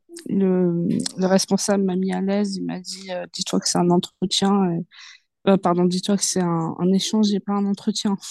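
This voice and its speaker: Speaking at a fairly slow pace with long, frequent pauses, a woman uses a medium pitch, a dark, mellow tone and monotone, flat intonation. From France, Paris suburbs (Seine-Saint-Denis). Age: 20s. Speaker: journalism student and book influencer. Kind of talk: interview. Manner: hesitant, many fillers.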